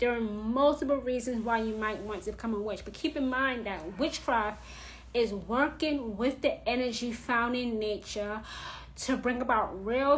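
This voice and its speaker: In a New York accent, a woman speaks with a bright, sharp tone at a high pitch and fairly slow pace. Her pitch variation is ordinary, and audible room echo surrounds her. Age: 30s. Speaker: witchcraft teacher. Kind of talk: live stream talk. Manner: blunt, direct.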